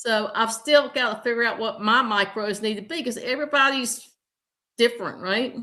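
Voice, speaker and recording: With a slight Southern US accent, a woman talks at a moderate pace in a bright, sharp tone with lively intonation. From US South, southern Virginia. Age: 60s. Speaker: health coach. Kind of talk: interview. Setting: livestream.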